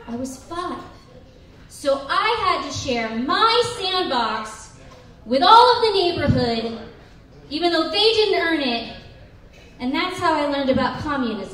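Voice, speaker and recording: A woman with a high voice talks at a fairly slow pace, her pitch swinging very widely between long, frequent pauses, with audible room echo and light background noise. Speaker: stand-up comedian. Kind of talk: stand-up comedy routine. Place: bar.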